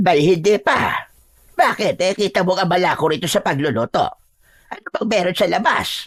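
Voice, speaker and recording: Putting on a character voice, a woman of medium pitch talks at a moderate pace with lively intonation. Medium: audio drama. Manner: brisk, scolding.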